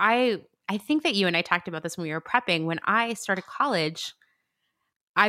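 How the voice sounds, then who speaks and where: Heard in a very clean recording with a silent background and a dry, close sound with no echo, a woman in a normal speaking voice talks at a fairly quick pace, at a medium pitch with ordinary pitch variation. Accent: American. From Pennsylvania, US. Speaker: podcast host. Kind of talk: casual chat.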